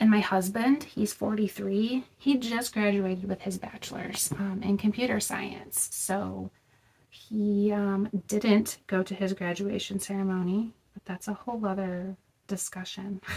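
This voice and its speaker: A woman at a medium pitch with fairly even intonation and a fairly slow pace, a normal speaking voice. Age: 30s. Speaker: vlogger. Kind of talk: casual chat. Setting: in a car. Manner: casual, many filler words.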